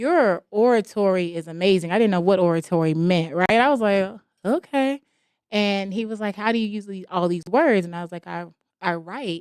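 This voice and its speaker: A woman speaks at a moderate pace in a medium pitch with a plain, everyday voice. Her pitch varies in an ordinary way while her loudness swings widely. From Jamaica, moved to US at nine. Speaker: author and entrepreneur. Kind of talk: podcast interview, life story.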